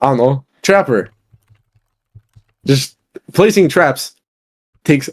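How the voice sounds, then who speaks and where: Fairly slow, lively-intoned speech with a non-native accent, long, frequent pauses and very even loudness, in a dry, close sound with no echo. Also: man. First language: not English. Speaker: podcast guest, gamer. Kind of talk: casual debate. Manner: animated.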